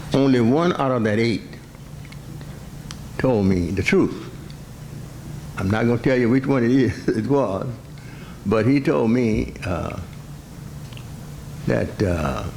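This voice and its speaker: A man with an American accent speaks at a very slow pace in a medium pitch, using lively intonation and long, frequent pauses over noticeable background noise. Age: 80s+. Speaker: certified public accountant. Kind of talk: speech to an audience, personal stories. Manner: hesitant, conversational.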